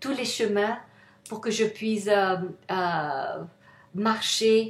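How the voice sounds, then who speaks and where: A woman with a non-native accent, fairly high pitch, ordinary pitch variation and a very slow pace. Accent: non-native French, rusty. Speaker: self-help author. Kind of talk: motivational talk to camera. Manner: halting, many hesitations.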